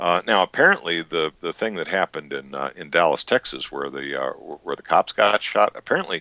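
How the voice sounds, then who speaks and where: Hardly pausing, a man with an American accent talks at a fairly quick pace with big swings in loudness, in a dry, close sound with no echo. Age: 60s. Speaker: interview guest, Vietnam-era veteran. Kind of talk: casual interview chat. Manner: halting, many fillers and repetitions.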